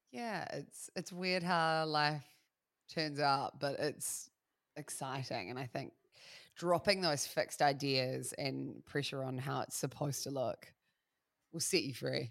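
Speaking at a fairly slow pace, a woman uses a very deep, low pitch. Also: ordinary pitch variation, very clean recording, silent background. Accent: New Zealand. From New Zealand, Christchurch. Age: 30s. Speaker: radio broadcaster. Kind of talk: casual chat.

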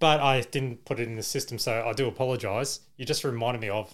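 A medium-pitched male voice with an Australian accent, on a very clean recording with a silent background. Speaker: podcast host. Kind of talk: casual chat.

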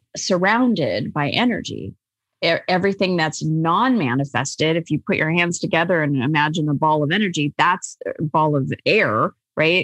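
A woman with an American accent has an ordinary speaking voice, pitched fairly low. She talks at a moderate pace with lively intonation, in a dry, close sound with no echo. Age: 50s. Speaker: life coach and author. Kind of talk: interview.

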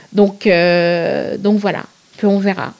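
A woman is speaking. She goes at a very slow pace. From Senegal (Thiès, Dakar). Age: 30s. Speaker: plus-size fashion blogger. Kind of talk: interview conversation. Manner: hesitant, many fillers.

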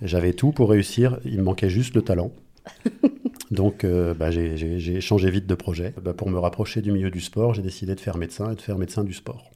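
A man with a very deep, low pitch and a dark, mellow tone speaks at a moderate pace with ordinary pitch variation. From France, Angers. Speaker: doctor. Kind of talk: casual chat.

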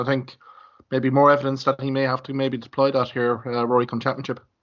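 The man speaks at a medium pitch. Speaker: hurling podcast host. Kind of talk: casual sports chat.

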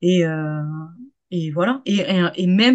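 With ordinary pitch variation, a woman talks in a medium-pitched voice. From Hauts-de-France, Saint-Quentin. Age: 30s. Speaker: pole dance teacher. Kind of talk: casual chat. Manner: hesitant, many fillers and repetitions.

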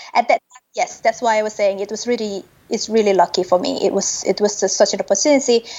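Very fast speech with big swings in loudness and ordinary pitch variation. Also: woman, fairly high pitch for a woman. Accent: Indonesian. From Indonesia. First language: Indonesian. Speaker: consultant for the UN. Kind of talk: casual interview.

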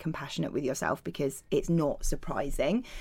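A woman in a British accent at a moderate pace, with ordinary pitch variation. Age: 30s. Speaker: body image campaigner and author. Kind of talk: casual chat.

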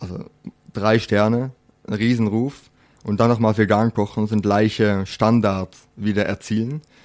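Fairly slow and fairly even in intonation, this speaker with a Dutch accent leaves long, frequent pauses on a very clean recording with a silent background. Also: man. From Netherlands. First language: Dutch (speaking German). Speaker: chef. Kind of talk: interview.

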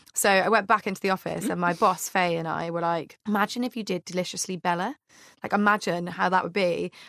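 Speaking at a very fast pace with fairly even intonation, a woman is heard in a very clean recording with a silent background and a dry, close sound with no echo. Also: medium pitch for a woman. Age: 20s. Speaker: comedian. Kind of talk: casual chat.

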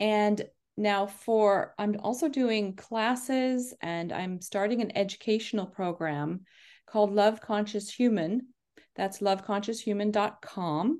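The woman has an ordinary speaking voice at a medium pitch, with ordinary pitch variation. She speaks at a fairly slow pace. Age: 50s. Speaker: leadership coach. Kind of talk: interview.

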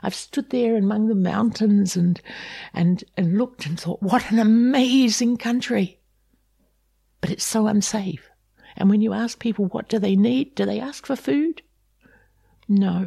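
A woman with a New Zealand accent speaks at a fairly slow pace in a dark, mellow, somewhat breathy tone. Her speech has long, frequent pauses. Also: fairly high pitch for a woman, ordinary pitch variation. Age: 70s. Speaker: refugee advocate and migration agent. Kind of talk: interview. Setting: her home.

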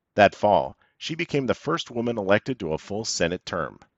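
A man with a fairly low-pitched voice talks at a moderate pace. He has a normal speaking voice. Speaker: podcast narrator. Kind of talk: scripted history podcast narration. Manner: measured, polished storytelling with wry, dryly amused asides.

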